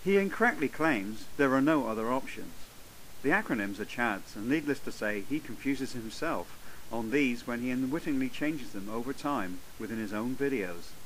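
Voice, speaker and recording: In a room with audible echo, a man speaks at a moderate pace with lively intonation. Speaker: atheist video blogger. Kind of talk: scripted commentary. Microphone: cheap low-end microphone.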